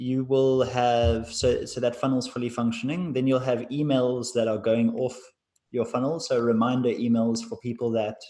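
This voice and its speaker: His voice dark and mellow, a man at medium pitch talks at a moderate pace with fairly even intonation against a quiet background. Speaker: sales closer. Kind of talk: sales call.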